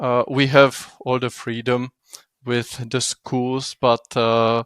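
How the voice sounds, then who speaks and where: A man with a non-native accent speaks at a very slow pace in a monotone, flat intonation, the sound dry and close with no echo. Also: medium pitch for a man. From Europe. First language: not English. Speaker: game developer. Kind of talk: interview answer.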